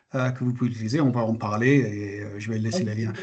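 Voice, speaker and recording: A man does the talking. Ordinary pitch variation marks his speech. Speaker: health terminology expert presenter. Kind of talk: webinar presentation. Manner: hesitant, many filler sounds.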